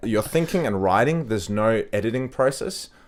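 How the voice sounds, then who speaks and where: Here a man talks with an Australian accent. His pitch is medium and his intonation lively. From Australia and Denmark. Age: 20s. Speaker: model and actor. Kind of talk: casual chat. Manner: halting.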